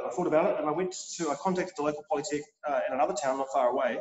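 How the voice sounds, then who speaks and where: A man's fairly high voice at a very fast pace, with audible room echo and light background noise. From New Zealand. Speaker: chef and culinary instructor. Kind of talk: interview. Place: kitchen. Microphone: video call.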